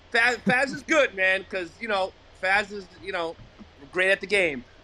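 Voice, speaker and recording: A man speaks in a raised, projected voice with a high pitch. His tone is animated, with ordinary pitch variation. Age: 60s. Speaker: caller, league member. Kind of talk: banter, playful argument.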